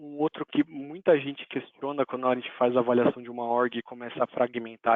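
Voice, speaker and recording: At a moderate pace, a man speaks at a medium pitch with fairly even intonation. He has an unremarkable speaking voice. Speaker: Salesforce technical specialist presenter. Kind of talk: technical webinar presentation.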